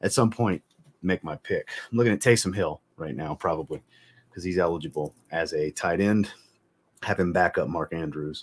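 Speaking at a moderate pace, the man has a very deep, low pitch that shifts in an ordinary way. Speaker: livestream host. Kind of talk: casual livestream chat. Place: home room.

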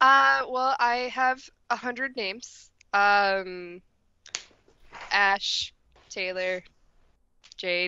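Using lively intonation, a woman speaks at a very slow pace with long, frequent pauses and a dry sound with no echo. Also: medium pitch for a woman. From United States. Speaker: panelist. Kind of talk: casual chat. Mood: friendly, light. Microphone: webcam.

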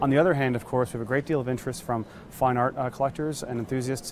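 A man talks at a very fast pace with fairly even intonation. The sound is dry with no echo, and there is light background noise. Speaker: auction house specialist. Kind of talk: interview answer. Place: hall.

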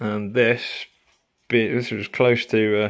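Moving slowly, a man with a fairly low pitch speaks with little pitch movement.

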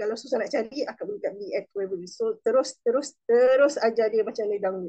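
A woman talks at a fairly quick pace with ordinary pitch variation and a dark, mellow tone over a quiet background. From Malaysia. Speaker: direct sales supervisor; guest. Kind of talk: testimony. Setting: video call. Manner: animated. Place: home room. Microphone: video call.

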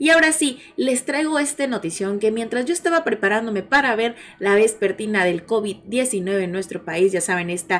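Here a woman speaks with lively intonation. Her pace is moderate. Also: hardly any pauses. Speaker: news channel host. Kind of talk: casual news commentary.

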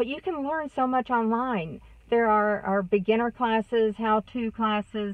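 In a dry sound with no echo, a woman with a Texas accent talks at a fairly slow pace, her fairly high pitch showing ordinary variation. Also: quiet background. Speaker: vlogger. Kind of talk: casual vlog monologue. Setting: in a car. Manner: chatty, warm. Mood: warm, upbeat, encouraging. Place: car. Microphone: phone near.

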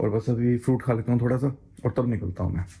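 A man's dark, mellow, somewhat breathy voice at a medium pitch, moderate pace and fairly even intonation. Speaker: travel vlogger. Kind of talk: casual vlog talk to camera.

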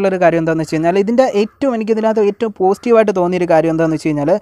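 A man speaks in a high voice with a dark, mellow tone. The sound is dry and close, with no echo. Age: 20s. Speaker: YouTuber, movie reviewer. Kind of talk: vlog-style movie recommendations.

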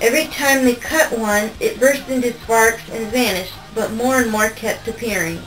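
A natural reading voice carries the text. Its intonation is fairly even.

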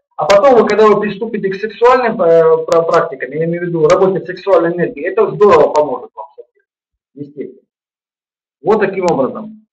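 Over a quiet background, a man speaks at a very fast pace with a high pitch, ordinary pitch variation and big swings in loudness. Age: 50s. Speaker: yoga teacher; webinar host, practice teacher. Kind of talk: webinar lecture; sales pitch. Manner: halting, with many repetitions. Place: home room. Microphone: webcam.

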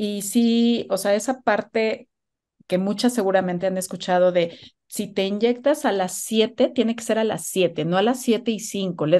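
A woman talks at a fairly slow pace with a dark, mellow tone. Her pitch varies in an ordinary way against a quiet background. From Mexico. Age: 40s. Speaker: guest sharing motherhood story; guest. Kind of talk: personal testimony. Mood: open, personal, animated. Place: home room. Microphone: video call.

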